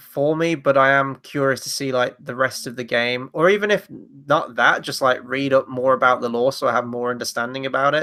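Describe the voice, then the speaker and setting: With a British accent and a fairly high pitch, a man speaks at a moderate pace in a bright, sharp tone, with hardly any pauses. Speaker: film review show co-host. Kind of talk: casual chat.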